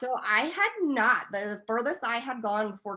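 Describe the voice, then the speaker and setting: Loud and bright with a sharp tone, a woman speaks with ordinary pitch variation. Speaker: esthetician and laser tech. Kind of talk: interview.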